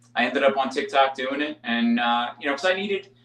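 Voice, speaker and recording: In an ordinary speaking voice, a man with a fairly high pitch talks at a fairly quick pace with lively intonation. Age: 30s. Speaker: firefighter. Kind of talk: casual chat.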